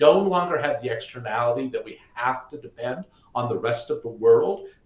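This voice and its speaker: With an American accent, a man speaks fairly quickly and with lively intonation over noticeable background noise. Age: 60s. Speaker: energy company co-founder. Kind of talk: webinar talk. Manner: animated.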